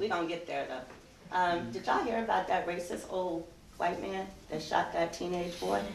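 A woman with an American accent talks at a moderate pace with a fairly low pitch and ordinary pitch variation. There is audible room echo and light background noise. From US East Coast. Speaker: performance poet. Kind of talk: live poetry reading. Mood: earnest, intense. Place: hall.

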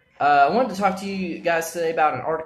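A man's voice with ordinary pitch variation. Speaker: vlog host. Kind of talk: casual vlog chat. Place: office. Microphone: phone near.

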